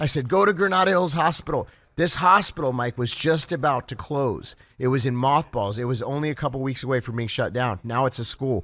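A man with an unremarkable speaking voice talks fairly quickly at medium pitch with lively intonation. The recording is very clean, the background silent. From California (Los Angeles area), born in Ohio. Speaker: pastor and evangelist. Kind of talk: radio interview. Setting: convention floor.

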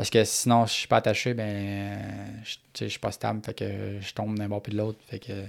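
A man speaks with a Quebec accent in a fairly low pitch, monotone and flat, at a moderate pace. The recording is very clean, with a silent background. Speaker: paraplegic motocross racer. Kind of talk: interview.

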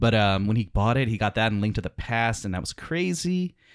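In a normal speaking voice, a man with an American accent talks at a fairly quick pace and a fairly low pitch, with lively intonation. The recording is very clean, with a silent background. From US South, New Orleans. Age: 30s. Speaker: comedian. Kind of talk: casual chat.

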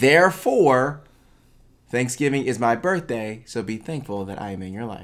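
This is a man with an ordinary speaking voice at medium pitch. He moves at a moderate pace with lively intonation. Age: 30s. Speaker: podcast co-host. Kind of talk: casual chat. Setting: studio.

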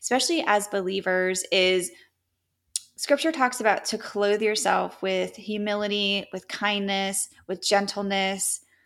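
Recorded very cleanly against a silent background, a woman uses an ordinary speaking voice at a medium pitch and fairly slow pace. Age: 30s. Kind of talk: casual interview.

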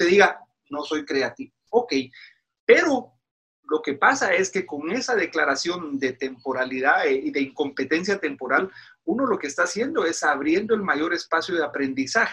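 This man's pitch is high, with very wide pitch swings and a bright, sharp tone. He speaks at a moderate pace. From Guatemala. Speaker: pastor. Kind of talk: interview. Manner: halting.

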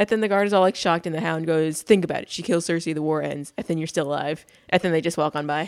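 Talking very fast, a woman keeps her intonation fairly even. Her pitch is fairly low. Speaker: podcast co-host. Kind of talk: casual chat. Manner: soft-spoken; enunciation problems.

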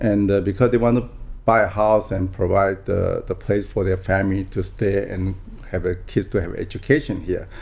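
A man with a Taiwanese accent speaks in a dark, mellow tone at a fairly low pitch. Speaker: real estate broker. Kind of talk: interview. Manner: halting.

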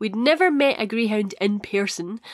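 Here a woman with a Scottish accent talks at a moderate pace and medium pitch, her intonation lively. The recording is very clean, with a silent background. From Scotland. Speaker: podcast host. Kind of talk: solo podcast chat.

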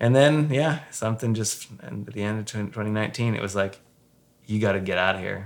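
A man with a fairly low pitch speaks in a normal speaking voice at a moderate pace. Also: ordinary pitch variation. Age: 40s. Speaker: former pastor. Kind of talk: casual chat. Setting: home.

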